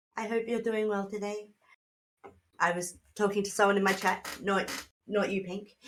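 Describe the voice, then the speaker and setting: At a moderate pace and medium pitch, a woman speaks in a flat, monotone way with long, frequent pauses. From Australia. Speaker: streamer playing tabletop role-playing game. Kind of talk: casual chat.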